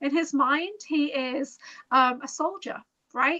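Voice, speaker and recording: A woman's raised, projected voice, high in pitch with a bright, sharp tone. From America and Toronto. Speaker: interview guest. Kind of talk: casual interview chat.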